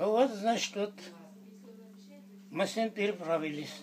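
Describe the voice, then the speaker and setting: Through noticeable background noise, a man speaks at a very slow pace with lively intonation. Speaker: war veteran. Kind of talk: interview answer.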